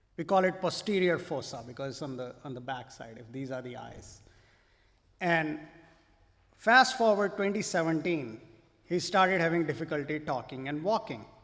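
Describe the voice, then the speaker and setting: A man with a fairly high pitch talks at a moderate pace, his intonation lively and his loudness swinging widely. Long, frequent pauses break up his speech, and room echo is audible. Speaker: physician. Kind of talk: lecture.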